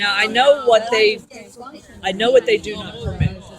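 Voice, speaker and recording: With noticeable background noise behind her, a woman speaks at a fairly quick pace, her fairly high voice showing ordinary pitch variation. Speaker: convention attendee. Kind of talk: casual chat.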